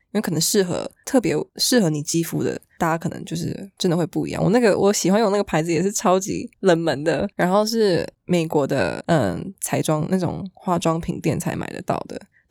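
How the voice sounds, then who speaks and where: A woman's vocal fry, dry and close with no echo, with hardly any pauses. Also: fairly low pitch for a woman, ordinary pitch variation, moderate pace. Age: 20s. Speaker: fashion model. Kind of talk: casual chat.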